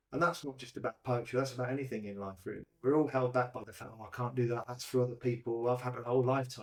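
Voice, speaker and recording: A man talking at a very fast pace. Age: 60s. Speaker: poet running a poetry group. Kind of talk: casual interview.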